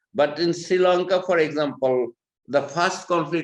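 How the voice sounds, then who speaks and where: Speaking at a moderate pace, a man has a Bangladeshi accent. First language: Bengali. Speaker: human rights advocate. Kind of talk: panel talk. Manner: halting.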